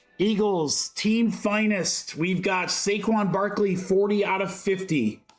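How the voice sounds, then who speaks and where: Music plays in the background while a man speaks. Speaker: sports card breaker, livestream host. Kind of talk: live card-break commentary. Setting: livestream. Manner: animated.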